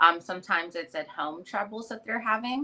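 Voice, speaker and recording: A woman speaks at a fairly low pitch and a moderate pace. Noticeable background noise runs underneath. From US South, Atlanta, Georgia. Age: 30s. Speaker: mental health coach. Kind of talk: casual interview.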